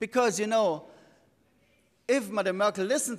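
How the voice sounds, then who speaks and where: This man's pace is moderate. He talks with a German accent. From Germany. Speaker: economist; speaker. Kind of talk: conference talk. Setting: stage with audience. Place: hall. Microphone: podium.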